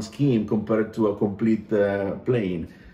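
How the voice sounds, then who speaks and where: A man with an Italian accent speaks at a fairly slow pace, his intonation fairly even. His tone is dark and mellow, and the room echo is audible. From Italy. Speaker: aircraft paint designer. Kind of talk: casual chat; video call conversation. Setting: video call. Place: home room. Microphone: video call.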